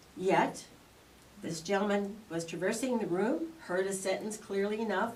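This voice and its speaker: Heard with audible room echo and noticeable background noise, the speaker uses a Canadian accent, a moderate pace, and ordinary pitch variation. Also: woman. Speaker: township councillor. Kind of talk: prepared statement at council meeting. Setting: council meeting. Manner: loud.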